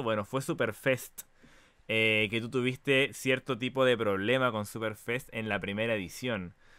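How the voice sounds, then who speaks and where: A man speaks in a Chilean accent with ordinary pitch variation. The sound is dry with no echo. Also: quiet background. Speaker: talk show host. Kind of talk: casual interview. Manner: animated. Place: home room. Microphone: headset.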